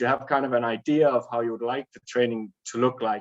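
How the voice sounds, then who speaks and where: Speaking at a fairly quick pace, a man with a Danish accent uses ordinary pitch variation. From Denmark. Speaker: running coach. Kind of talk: webinar talk. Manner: talkative.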